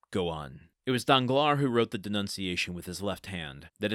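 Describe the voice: This is plain reading aloud with lively intonation and a quiet background.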